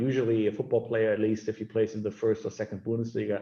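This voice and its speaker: A man with a German accent speaks at medium pitch in a monotone, flat intonation over noticeable background noise. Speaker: sports lawyer. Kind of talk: webinar interview. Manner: halting, many fillers.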